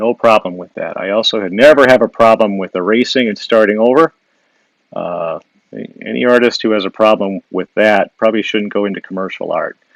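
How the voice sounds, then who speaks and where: A man with a Wisconsin accent talks with big swings in loudness, his sound dry and close with no echo. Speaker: illustrator and caricature artist. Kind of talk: live drawing demo with viewer Q&A. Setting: Instagram live stream. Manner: casual, with frequent fillers and restarts.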